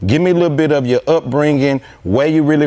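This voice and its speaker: In a Houston accent, the speaker talks at a very fast pace with ordinary pitch variation over noticeable background noise. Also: man. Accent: Houston Southern US. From Houston, Texas. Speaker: podcast host. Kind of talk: interview.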